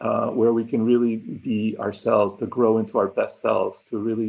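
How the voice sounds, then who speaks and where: His pace is moderate. The man has a Spanish accent. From Argentina, then New York and Puerto Rico. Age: 60s. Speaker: diversity consultant and former psychology professor. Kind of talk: interview, self-introduction. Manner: many fillers (um, uh).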